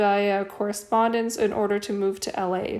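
Her voice holds a monotone line. The woman's intonation stays flat throughout. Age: 30s. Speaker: podcast host. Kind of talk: solo commentary.

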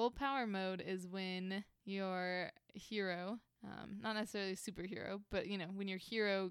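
A woman talks at a moderate pace, at a medium pitch with fairly even intonation and hardly any pauses. It is an ordinary speaking voice. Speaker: podcast co-host. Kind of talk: casual chat. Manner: laughs often.

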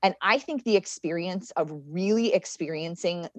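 With an American accent, a woman speaks at a moderate pace and ordinary pitch variation, the sound dry and close with no echo. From Connecticut. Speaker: city government official. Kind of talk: interview.

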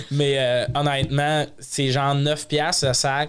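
A man talks very slowly, his pitch sitting fairly high. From Quebec, Lac-Saint-Jean. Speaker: comedian and podcast host. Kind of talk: casual chat. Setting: studio.

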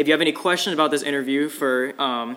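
A man speaks at a medium pitch with fairly even intonation. It is an ordinary speaking voice. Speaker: podcast host. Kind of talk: interview.

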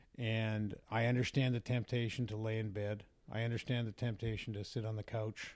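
A man with a Western Canadian accent, medium pitch, fairly quick pace and monotone, flat intonation. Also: very clean recording, silent background. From Vancouver, Canada. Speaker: sports radio host. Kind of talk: casual interview conversation.

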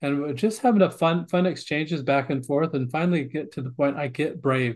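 Somewhat breathy and fairly high in pitch, a man with a Western US accent talks at a fairly quick pace. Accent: American, western US. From Montana. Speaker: author and family educator. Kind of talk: interview.

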